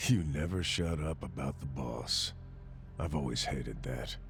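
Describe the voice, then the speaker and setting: A man speaks in a put-on character voice at a moderate pace. Clear background noise can be heard. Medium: video game. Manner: cold, clipped.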